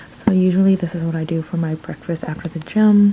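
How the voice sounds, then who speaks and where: Over noticeable background noise, a woman talks at a moderate pace in a fairly low pitch with ordinary pitch variation. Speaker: vlogger. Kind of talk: casual vlog narration. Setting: at home. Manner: whispering.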